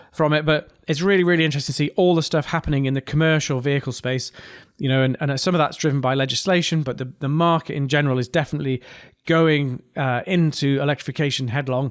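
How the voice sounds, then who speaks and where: Speaking very fast, a man with a northeast English accent keeps a fairly high pitch and fairly even intonation. The recording is very clean with a silent background. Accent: mild northeast English. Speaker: podcast host, engineer. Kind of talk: casual podcast monologue. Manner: hesitant, many fillers.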